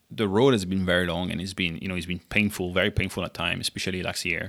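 Over a silent background in a very clean recording, a man with a French accent speaks at a fairly quick pace in a bright, sharp tone. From southern France (Monaco area). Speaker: entrepreneur, food startup founder. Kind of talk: casual interview.

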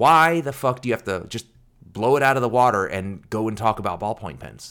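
An unremarkable speaking voice, this man's is medium in pitch, moderate in pace and lively in intonation. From US, Korean-American family. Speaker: podcast host, fountain pen reviewer. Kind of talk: casual chat. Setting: remote recording over video call.

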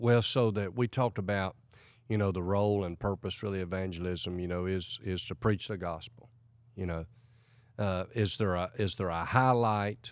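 In a very clean recording with a silent background, a man with an American accent and a very deep, low pitch speaks at a moderate pace with fairly even intonation. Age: 40s. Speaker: evangelist. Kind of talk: casual interview chat.

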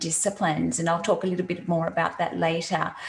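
A woman talks with fairly even intonation. Noticeable background noise runs under her voice. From Australia. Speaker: CX consultant. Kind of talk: interview. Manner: halting, many fillers.

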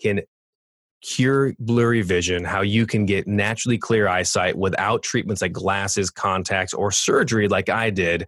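Speaking at a moderate pace with a Californian accent, the voice keeps a fairly even intonation over a quiet background. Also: man. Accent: Californian American. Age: 40s. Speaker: podcast host. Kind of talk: interview.

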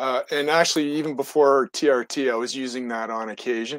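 An unremarkable speaking voice from a man, medium in pitch, at a fairly quick pace with fairly even intonation and a dry, close sound with no echo. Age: 60s. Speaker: caller. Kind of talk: call-in conversation.

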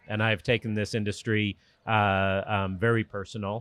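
In an American accent, a man speaks at a moderate pace with a fairly low pitch and monotone, flat intonation. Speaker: boat company executive. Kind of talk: interview. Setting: boat show. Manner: hesitant, fillers.

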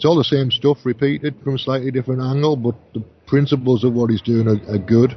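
Somewhat breathy male speech, pitch varying in an ordinary way. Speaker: radio host. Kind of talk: live radio show chat.

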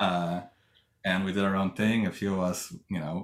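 With a Russian accent, a man speaks in a very deep, low pitch and fairly even intonation on a very clean recording with a silent background. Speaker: tech company co-founder and engineering executive. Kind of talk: interview. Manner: hesitant, many fillers.

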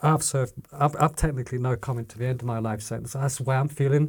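In a very clean recording with a silent background, a man with a somewhat breathy, medium-pitched voice speaks at a very fast pace with ordinary pitch variation. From Corby, Northamptonshire, England. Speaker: crime victim. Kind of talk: testimony.

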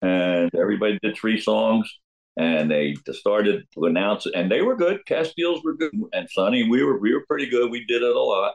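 A man with a New Jersey accent speaks at a moderate pace. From New Jersey, Jersey Shore (Neptune). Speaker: rock drummer. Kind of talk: interview storytelling. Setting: video call.

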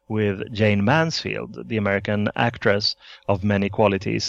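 With a Swedish accent, a man speaks in a fairly low voice. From Sweden. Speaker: author. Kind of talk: interview.

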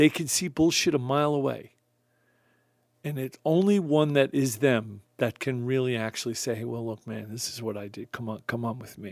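A man with an ordinary speaking voice and an American accent talks at medium pitch and a moderate pace, with ordinary pitch variation and big swings in loudness. The recording is very clean, with a silent background. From Long Island, New York. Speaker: music producer. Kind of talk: casual interview. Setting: studio.

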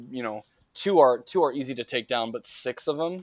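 A man speaks at medium pitch and a moderate pace with lively intonation in a normal speaking voice. The recording is very clean and dry, close with no echo, and the background is silent. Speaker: podcast co-host.

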